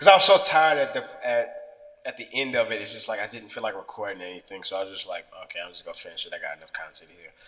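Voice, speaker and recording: A man at a very fast pace, with big swings in loudness and noticeable background noise. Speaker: fitness vlogger. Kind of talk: casual vlog monologue.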